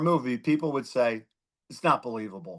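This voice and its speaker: With a Philadelphia accent, a man speaks at a moderate pace against a quiet background. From Philadelphia, US. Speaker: former judge, district attorney candidate. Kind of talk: interview.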